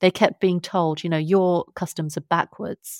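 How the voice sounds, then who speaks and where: A woman's fairly low voice at a fairly slow pace, in a dry, close recording with no echo. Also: very clean recording, silent background. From London, England. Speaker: author and science journalist. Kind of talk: interview conversation.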